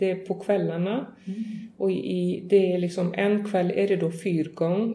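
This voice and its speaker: Audible room echo and noticeable background noise fill the recording. The intonation stays fairly even. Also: woman. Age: 40s. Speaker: horse farm and tourism business owner. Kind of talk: interview. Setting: on location at a farm.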